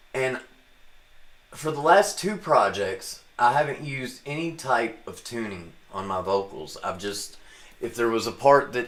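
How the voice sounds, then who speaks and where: This man speaks at a fairly slow pace. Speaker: musician and home studio producer. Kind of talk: live stream tutorial. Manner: casual; halting with frequent fillers. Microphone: condenser microphone with new pop filter.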